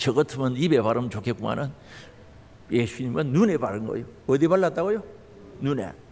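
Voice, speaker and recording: The voice moves at a fairly quick pace, its pitch swinging very widely. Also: man. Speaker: pastor. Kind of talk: sermon. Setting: church. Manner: animated.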